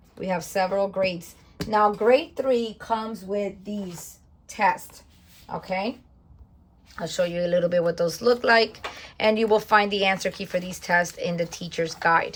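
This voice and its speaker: Somewhat breathy, a woman of medium pitch talks at a moderate pace. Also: fairly even intonation. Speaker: homeschooling parent and curriculum reviewer. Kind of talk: curriculum flip-through tutorial. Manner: casual with fillers.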